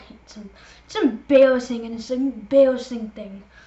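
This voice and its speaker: A woman with a fairly high voice speaks at a moderate pace, with audible room echo and noticeable background noise. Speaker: gaming youtuber. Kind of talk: casual vlog monologue. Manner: rambling, filler-heavy.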